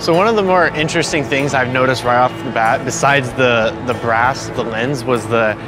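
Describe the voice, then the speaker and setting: Clear music plays in the background of this dry recording with no echo. The voice shows ordinary pitch variation. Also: man. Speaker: photographer reviewing a lens. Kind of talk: interview answer. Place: street.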